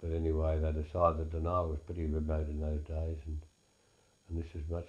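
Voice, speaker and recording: A man with a rural Australian accent talks at a moderate pace, his very deep, low voice somewhat breathy and dark, mellow in tone. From Australia, Wimmera region of Victoria. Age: 80s+. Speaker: elderly farmer recalling family history. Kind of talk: oral history interview. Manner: halting, with frequent repetitions and fillers.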